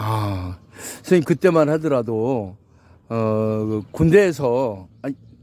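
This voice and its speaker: A man at a medium pitch, very slow pace and lively intonation, with noticeable background noise. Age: 70s. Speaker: YouTube interviewer. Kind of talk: interview questions.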